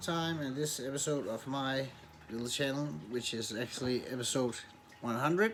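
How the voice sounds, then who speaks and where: The speaker uses lively intonation and keeps to a fairly slow pace. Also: man. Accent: Danish. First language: Danish. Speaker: YouTuber reviewing movies and TV. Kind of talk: casual vlog outro. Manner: halting, many repetitions.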